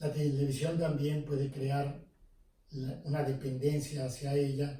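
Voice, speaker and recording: A man speaks fairly slowly in a fairly high, somewhat breathy voice. His tone is dark and mellow, with audible room echo. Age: 70s. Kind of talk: interview. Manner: hesitant with fillers.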